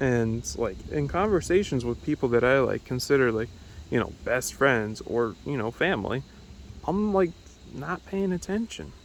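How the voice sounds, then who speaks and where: Moderate pace from a man, his pitch swinging very widely. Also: medium pitch for a man. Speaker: video diarist. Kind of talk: personal video diary monologue. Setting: outdoors in backyard. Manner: rambling, halting with mid-sentence pauses; normal conversational volume. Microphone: phone mic, audio may shift between ears.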